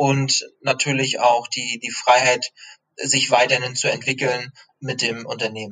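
A man's medium-pitched voice, flat and monotone in intonation. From Rostock, northern Germany. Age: 30s. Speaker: junior sales manager. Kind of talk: interview. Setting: remote call. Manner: hesitant, many fillers.

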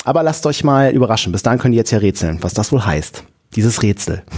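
This man talks at a very fast pace. His pitch sits in the middle range and varies in an ordinary way. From northern Germany, Friesland. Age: 30s. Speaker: volunteer nativity play organizer. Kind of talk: casual interview.

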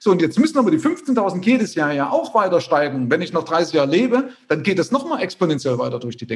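A man talks at a very fast pace with hardly any pauses. His voice is high for a man and swings very widely in pitch. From former East Germany. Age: 50s. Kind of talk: interview.

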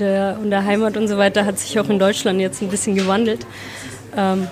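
Over noticeable background noise, a woman talks at a medium pitch with monotone, flat intonation. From Germany. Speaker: interpreter and translator. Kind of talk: interview. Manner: halting, many repetitions.

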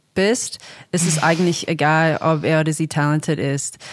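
A woman with an Australian accent speaks at a fairly low pitch with fairly even intonation. The recording is very clean, with a silent background. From Australia, Sydney suburbs. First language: English (speaking German). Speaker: singer-songwriter and producer. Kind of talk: casual interview. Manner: halting, many fillers.

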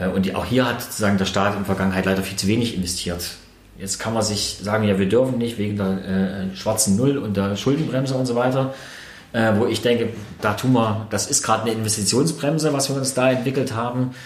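Very fast speech from a man at medium pitch with ordinary pitch variation, plus audible room echo and noticeable background noise. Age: 40s. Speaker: local politician. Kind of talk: interview. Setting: in his shop.

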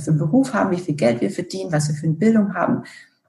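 Vocal fry colors the voice. The intonation is lively. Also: woman. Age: 40s. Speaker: corporate communications director. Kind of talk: interview.

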